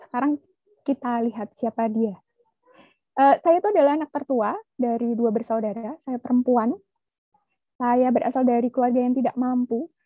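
A woman's high voice at a moderate pace, with ordinary pitch variation, long and frequent pauses, and a dry, echo-free sound against a quiet background. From Indonesia. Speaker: researcher; webinar presenter. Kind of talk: presentation. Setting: video call. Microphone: video call.

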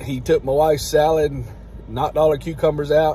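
At a moderate pace, the voice comes through with light background noise and a dry sound with no echo. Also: man. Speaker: vlogger grandfather. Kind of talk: casual vlog chat. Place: car. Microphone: phone near.

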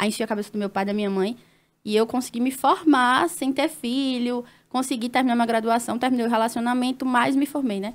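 A woman with a high pitch speaks at a fairly quick pace and fairly even intonation. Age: 20s. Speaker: nurse and influencer; influencer. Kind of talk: casual chat. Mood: personal, reflective storytelling. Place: studio. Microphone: studio mic.

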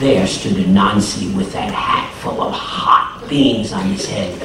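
Very slow speech from a man, with audible room echo and noticeable background noise. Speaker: storyteller. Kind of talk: storytelling performance to an audience. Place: classroom.

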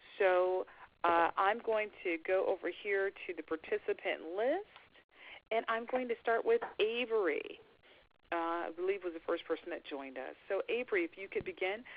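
A woman talks at a moderate pace. The sound is dry with no echo. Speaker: facilitator and consultant. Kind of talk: webinar facilitation. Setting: phone conference. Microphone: video call.

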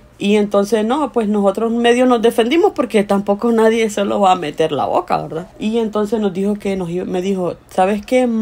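Over noticeable background noise, a woman with a Honduran accent talks at a moderate pace and a medium pitch, with ordinary pitch variation and hardly any pauses. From Honduras. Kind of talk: interview answer, personal migration story.

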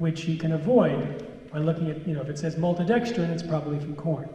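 Audible room echo surrounds a man talking at a fairly quick pace with a high pitch. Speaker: author and anti-GMO speaker; guest lecturer. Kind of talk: lecture. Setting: stage with audience. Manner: animated.

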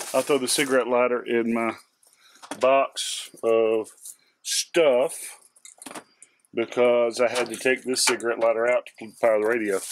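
The sound is dry with no echo as a man speaks at a moderate pace amid noticeable background noise. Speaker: hobbyist reviewer. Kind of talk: tutorial. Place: garage.

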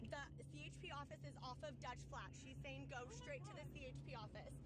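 The sound is dry with no echo. Loud noise fills the background. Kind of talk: panicked emergency phone call. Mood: panicked, frightened. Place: car. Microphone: phone near.

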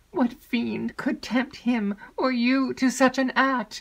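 A put-on character voice moves at a slow pace, with vocal fry and fairly even intonation.

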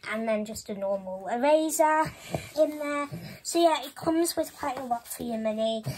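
Someone with a Welsh accent speaks at a moderate pace with lively intonation over noticeable background noise. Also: woman. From Wales. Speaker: YouTuber. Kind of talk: show-and-tell vlog. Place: home room. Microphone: phone near.

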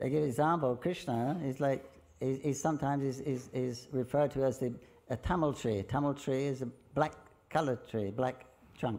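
A man's medium-pitched voice with a dark, mellow tone, moderate pace, long and frequent pauses, and fairly even intonation. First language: English (speaking Russian). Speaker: visiting Hare Krishna lecturer. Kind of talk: lecture. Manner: halting. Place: hall. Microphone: podium.

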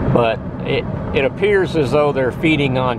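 A man's voice with ordinary pitch variation, dry with no echo, over loud background noise. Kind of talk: casual vlog chat. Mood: relaxed, mildly disappointed. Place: car. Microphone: phone near.

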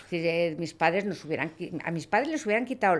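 A woman is speaking. Her intonation is lively. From Spain, Toledo (Castilla-La Mancha). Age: 60s. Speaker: lawyer and hunting club president. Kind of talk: podcast interview. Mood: warm, nostalgic. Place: studio. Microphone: studio mic.

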